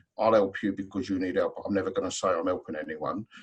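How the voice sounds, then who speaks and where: In a London accent, a man talks at a fairly quick pace. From South London. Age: 40s. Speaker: trainer and hypnotherapist. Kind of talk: webinar panel discussion.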